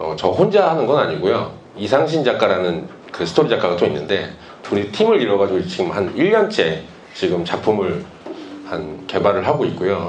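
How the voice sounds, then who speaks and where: A man's voice comes at a moderate pace, with audible echo from the room. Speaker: webtoon artist. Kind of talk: lecture. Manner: hesitant, with pauses.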